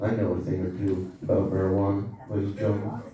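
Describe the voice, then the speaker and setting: Noticeable background noise sits behind a man speaking at a moderate pace with a fairly low pitch. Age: 40s. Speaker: stand-up comedian. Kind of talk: stand-up comedy set to a live audience. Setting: comedy club stage with live audience.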